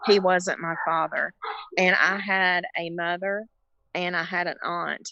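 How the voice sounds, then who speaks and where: With a Southern US accent, a woman speaks at a medium pitch and a fairly slow pace in a monotone, flat intonation. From North Carolina. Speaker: caregiver. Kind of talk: testimony. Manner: halting.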